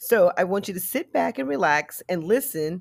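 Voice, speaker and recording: Lively intonation with vocal fry, at a fairly slow pace, in a dry, close sound with no echo. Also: woman. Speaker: podcast host. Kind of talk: casual podcast chat, then dramatic story narration. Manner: dramatic narration, theatrical and suspenseful in the story stretch; chatty, upbeat, enthusiastic.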